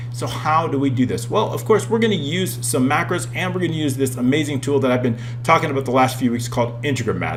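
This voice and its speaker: A man talks at a very fast pace. Music plays in the background, and the room echo is audible. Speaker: Excel software trainer. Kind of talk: tutorial. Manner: animated.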